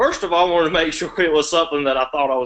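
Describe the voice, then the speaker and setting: A man with a Southern US accent speaks at a fairly high pitch in a bright, sharp tone. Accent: Southern drawl. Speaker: law student, election candidate. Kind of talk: candidate Q&A answers. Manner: long-winded.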